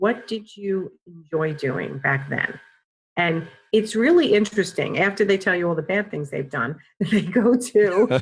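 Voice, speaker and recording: With a New York accent, a woman speaks at a medium pitch and a fairly slow pace. Her voice is somewhat breathy, and her intonation is lively. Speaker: career coach. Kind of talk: podcast interview answer.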